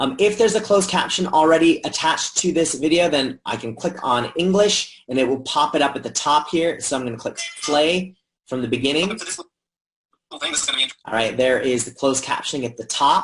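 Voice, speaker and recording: In an American accent, a man with a fairly high pitch talks at a moderate pace with lively intonation. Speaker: educational technology trainer. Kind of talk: software tutorial. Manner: casual, conversational.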